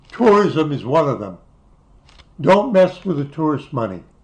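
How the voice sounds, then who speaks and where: This man's voice is fairly high and somewhat breathy, with lively intonation at a moderate pace. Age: 80s+. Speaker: YouTuber reminiscing about travels. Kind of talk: casual monologue reminiscing. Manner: halting, with false starts.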